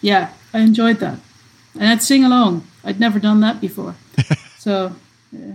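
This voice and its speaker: A woman with a Dutch accent speaks at a moderate pace and a fairly high pitch, somewhat breathy, with fairly even intonation. Her loudness swings widely and her pauses are long and frequent. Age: 50s. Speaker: fan site founder. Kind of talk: casual chat.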